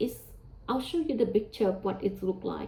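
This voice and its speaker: A woman speaks with a Vietnamese accent. Her fairly high voice has lively intonation. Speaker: religious teacher. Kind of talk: religious talk. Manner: hesitant, with fillers.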